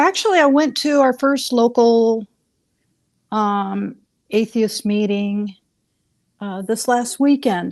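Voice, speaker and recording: A woman's fairly high-pitched voice at a very slow pace, with long, frequent pauses and a quiet background. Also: ordinary pitch variation. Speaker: caller. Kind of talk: casual chat. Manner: halting.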